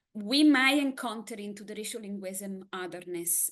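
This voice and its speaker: A woman with an Italian accent, lively in intonation and fairly slow in pace. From Italy. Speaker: academic presenter. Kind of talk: conference presentation.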